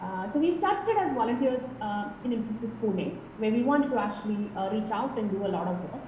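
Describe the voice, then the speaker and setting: A woman with a Kerala accent talks at a fairly quick pace with hardly any pauses, her pitch fairly high and its variation ordinary. Noticeable background noise and audible room echo surround her voice. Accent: Indian English (Kerala). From India, Kerala. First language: Malayalam. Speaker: tech professional. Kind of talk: interview.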